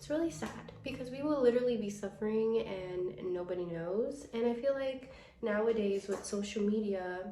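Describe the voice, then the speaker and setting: The pace is moderate, with ordinary pitch variation. Audible room echo surrounds the voice. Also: woman, fairly high pitch for a woman. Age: 20s. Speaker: lifestyle and comedy vlogger. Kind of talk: casual vlog chat.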